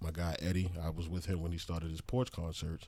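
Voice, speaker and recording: A man's very deep, low voice in a flat monotone at a moderate pace. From Baltimore, Maryland (East Side). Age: 40s. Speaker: musician. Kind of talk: casual chat.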